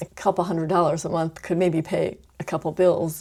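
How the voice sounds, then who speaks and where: A woman speaks at a very fast pace, mumbling with vocal fry. Her voice is fairly low-pitched, with a dark, mellow tone. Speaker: vlogger. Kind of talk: casual monologue. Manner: trailing off at sentence ends.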